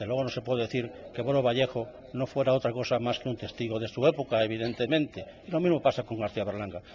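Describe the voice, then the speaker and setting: A man with a medium pitch moves at a fairly quick pace, using ordinary pitch variation. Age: 60s. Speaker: novelist. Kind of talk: radio interview. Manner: halting, many fillers.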